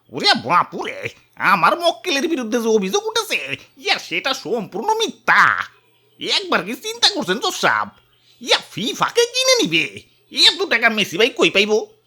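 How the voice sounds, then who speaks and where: This is a cartoonish character voice. The pitch sits high. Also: moderate pace. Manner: drawling, filler-laden, casual.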